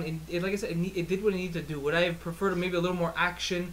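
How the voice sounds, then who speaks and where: Over noticeable background noise, a man talks very fast in a high voice. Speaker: podcast host. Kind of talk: casual movie review chat. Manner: animated.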